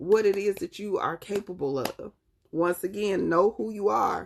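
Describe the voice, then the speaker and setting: A woman with a Southern accent. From US South, North Carolina. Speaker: tarot reader. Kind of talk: live-stream tarot reading. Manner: animated.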